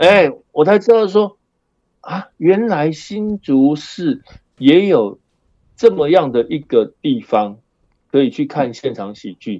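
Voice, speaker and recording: A man's fairly high-pitched voice at a very slow pace, with long, frequent pauses, very wide pitch swings and big swings in loudness. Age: 60s. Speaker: high school performing arts teacher. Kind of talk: casual interview chat.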